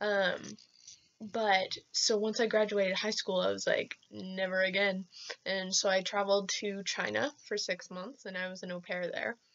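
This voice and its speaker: The woman's pitch sits in the middle range and her intonation is monotone and flat. She speaks at a moderate pace. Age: 20s. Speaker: vlogger. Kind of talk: casual vlog monologue. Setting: self-filmed on laptop camera. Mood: cheerful, animated. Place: home room. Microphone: webcam.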